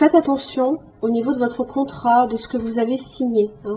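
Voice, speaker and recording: A woman with a high pitch and ordinary pitch variation talks at a fairly slow pace over noticeable background noise. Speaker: tarot reader. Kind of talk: tarot reading monologue. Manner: hesitant, many fillers.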